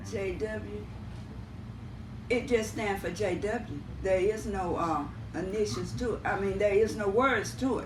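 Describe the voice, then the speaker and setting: A woman speaks at a fairly slow pace with lively intonation and long, frequent pauses. The recording has audible room echo and noticeable background noise. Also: medium pitch for a woman. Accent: American. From US South, Houston County. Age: 70s. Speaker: family member interviewee. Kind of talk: family interview.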